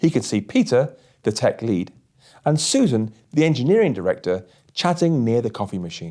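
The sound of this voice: A man speaks at medium pitch with a dark, mellow tone and very wide pitch swings. The recording is very clean, with a silent background.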